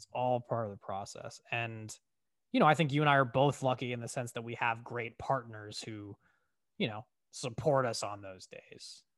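On a very clean recording with a silent background, a man with an unremarkable speaking voice talks at a medium pitch and moderate pace with fairly even intonation. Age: 30s. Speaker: podcast co-host. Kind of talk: casual chat.

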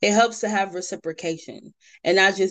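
A woman talks at a fairly quick pace in a normal speaking voice. Her pitch variation is ordinary. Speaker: podcast host. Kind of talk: casual chat. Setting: separate remote recording.

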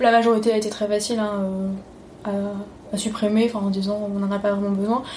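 The voice comes across in a monotone, flat intonation against audible room echo. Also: woman. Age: 30s. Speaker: lawyer and traveler. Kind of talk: interview.

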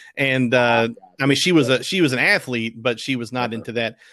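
A man's bright, sharp voice in a Southern US accent, fairly even intonation, on a very clean recording with a silent background. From Arkansas, River Valley. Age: 30s. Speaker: former college football fan guest. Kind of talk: casual chat.

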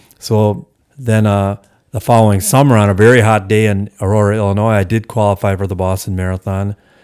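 In a very clean recording with a silent background, a normal speaking voice with an American accent moves at a fairly quick pace. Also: man. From US Midwest, Milwaukee area, Wisconsin. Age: 60s. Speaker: veteran distance runner and running coach. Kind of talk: interview.

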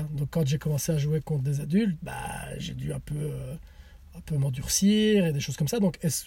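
Noticeable background noise sits behind a man with a fairly high voice. He moves at a moderate pace with ordinary pitch variation. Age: 30s. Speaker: CrossFit athlete and coach. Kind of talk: casual chat. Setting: in a car.

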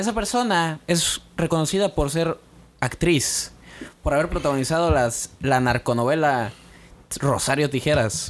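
A man's fairly slow, fairly high voice, a plain, everyday voice with lively intonation and very even loudness. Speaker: podcast co-host. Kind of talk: casual chat.

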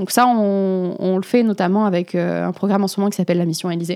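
The very clean recording, with a silent background, carries a woman's medium-pitched voice, dark and mellow in tone, with monotone, flat intonation. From southern France, between Aix and Marseille. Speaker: student and environmental activist. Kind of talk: interview conversation.

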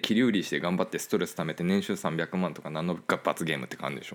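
Vocal fry marks this man's very fast speech. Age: 30s. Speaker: podcast host, wine business owner. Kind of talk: casual chat. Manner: animated.

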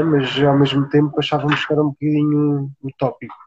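At a middling speed, a man talks in a fairly high voice that is somewhat breathy. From Portugal, Alentejo (Beja). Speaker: sustainable tiny-house builder. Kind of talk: live-stream interview.

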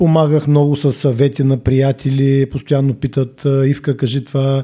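Against a silent background in a very clean recording, a man speaks at a fairly slow pace. His fairly high voice has a dark, mellow tone. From Bulgaria, Burgas. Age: 50s. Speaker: gym owner and fitness trainer. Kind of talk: casual interview chat. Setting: studio.

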